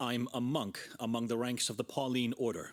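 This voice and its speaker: A man's put-on character voice at medium pitch, moderate in pace, monotone and flat in intonation, with very even loudness. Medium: video game. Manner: stubborn, earnest.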